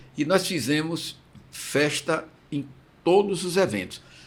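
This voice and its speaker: This man's pitch varies in an ordinary way. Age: 60s. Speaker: interviewer, former masters swimming association president. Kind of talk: interview.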